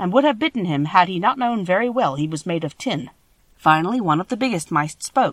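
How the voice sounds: Lively intonation in a natural reading voice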